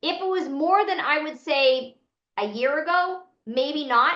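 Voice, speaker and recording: With a Boston accent, a woman speaks at a high pitch. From Boston, US. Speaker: financial aid consultant. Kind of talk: webinar Q&A.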